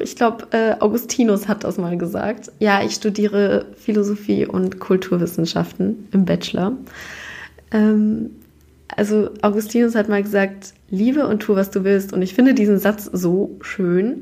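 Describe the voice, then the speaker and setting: A woman speaks at a medium pitch and a moderate pace, her tone dark and mellow. There's vocal fry and ordinary pitch variation. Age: 20s. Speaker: podcast host. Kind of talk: casual monologue. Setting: office. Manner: casual, chatty.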